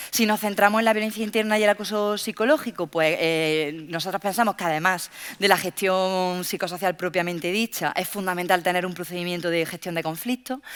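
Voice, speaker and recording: On a very clean recording with a silent background, a woman talks at a fairly quick pace with hardly any pauses, medium pitch and ordinary pitch variation. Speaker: workplace safety researcher. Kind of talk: panel talk. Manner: fast.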